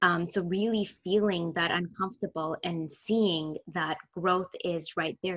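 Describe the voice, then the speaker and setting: A woman with a plain, everyday voice at a fairly low pitch speaks at a fairly slow pace, her intonation fairly even. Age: 40s. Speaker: holistic nutritionist and women's health coach. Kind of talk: casual chat.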